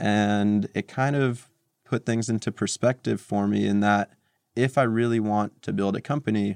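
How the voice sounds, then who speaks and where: Speaking with a New Jersey accent, a man keeps a moderate pace and fairly low pitch. His intonation is fairly even, and the sound is dry and close with no echo. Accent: New Jersey American. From New Jersey, US. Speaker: tech entrepreneur. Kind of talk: interview.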